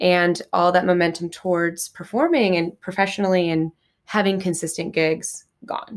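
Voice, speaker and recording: At a moderate pace and with fairly even intonation, the voice comes through in a very clean recording with a silent background. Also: woman, fairly low pitch for a woman. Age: 20s. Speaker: actor and podcast co-host. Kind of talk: casual chat. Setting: film festival, Las Vegas. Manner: loud.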